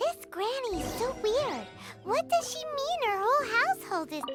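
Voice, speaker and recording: A put-on character voice with extremely high pitch goes at a moderate pace over clear music in the background. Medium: video game. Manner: casual, curious.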